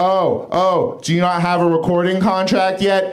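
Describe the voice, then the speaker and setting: A man talks at a moderate pace and a high pitch. Noticeable background noise runs underneath. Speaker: comedian. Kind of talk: stand-up. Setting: stage with audience.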